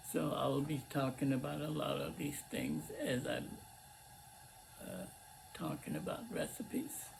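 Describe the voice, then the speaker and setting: Noticeable background noise sits behind a man who talks at a very slow pace. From Lebanon. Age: 80s+. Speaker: cooking channel host. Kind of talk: casual talk to camera. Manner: halting, many fillers.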